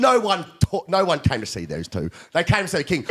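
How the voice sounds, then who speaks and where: A man talks loudly and in an animated tone, his pitch high for a man. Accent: Australian. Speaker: performance coach and podcast host. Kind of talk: casual chat.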